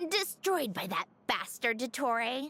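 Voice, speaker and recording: A put-on character voice, female-sounding and high-pitched, at a fairly slow pace. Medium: video game. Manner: brusque, self-assured.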